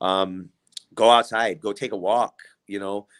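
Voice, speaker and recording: Using fairly even intonation, a man with a Midwestern US accent speaks in a fairly low pitch at a fairly slow pace. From Illinois, Kankakee County. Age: 30s. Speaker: community member. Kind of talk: casual chat.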